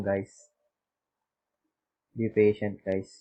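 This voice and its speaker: A man speaks very slowly with a Filipino accent. His tone is dark and mellow, and his pitch is fairly low. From Philippines. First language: Tagalog. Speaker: YouTube tutorial maker. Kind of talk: tutorial. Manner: halting.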